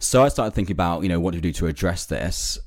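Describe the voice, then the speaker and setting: A man speaks with a London accent and vocal fry. His pitch variation is ordinary. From London, England.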